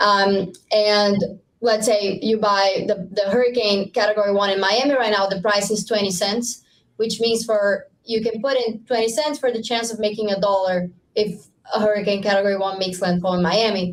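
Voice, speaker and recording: At a moderate pace, a woman with a Brazilian accent speaks at a medium pitch with fairly even intonation. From Brazil (Rio de Janeiro). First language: Portuguese. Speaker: startup founder. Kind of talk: podcast interview. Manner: halting with many fillers and repetitions.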